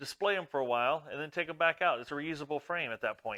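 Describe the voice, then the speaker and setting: A man speaks loudly at a fairly quick pace, with a bright, sharp tone, a fairly high pitch and ordinary pitch variation. The recording is very clean with a silent background, and the sound is dry and close with no echo. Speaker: woodworking hobbyist YouTuber. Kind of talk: tutorial. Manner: casual, conversational.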